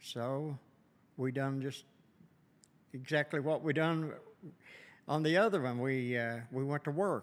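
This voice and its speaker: A man with a strong Kentucky accent speaks fairly slowly at a fairly high pitch, with ordinary pitch variation. He leaves long, frequent pauses. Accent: strong Southern US, rural Kentucky. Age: 70s. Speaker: lumber business owner. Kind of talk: casual interview. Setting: on location at venue. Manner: slow, halting, storytelling.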